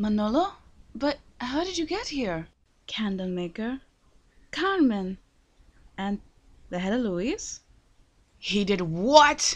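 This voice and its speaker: A put-on character voice, female-sounding and fairly high in pitch, moves at a fairly slow pace with long, frequent pauses. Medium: dub. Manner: angry, screaming.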